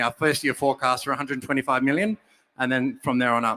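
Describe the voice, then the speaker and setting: A man with an Australian accent speaks at a very fast pace, his tone bright and sharp. The recording is very clean, with a silent background and a dry, close sound free of echo. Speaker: startup founder pitching. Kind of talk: pitch presentation and Q&A.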